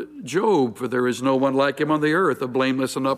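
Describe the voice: Fairly even intonation in a plain read-aloud passage.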